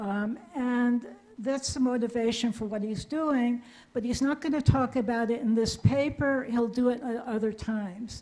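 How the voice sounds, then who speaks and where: Her voice has a high pitch and a dark, mellow tone as the woman speaks at a moderate pace with fairly even intonation. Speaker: audience member asking question. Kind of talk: audience question in Q&A. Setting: lecture hall with audience.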